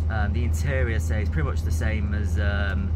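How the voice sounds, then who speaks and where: A man talks over loud background noise. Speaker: railway vlogger. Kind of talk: casual vlog chat. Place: train. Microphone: phone near.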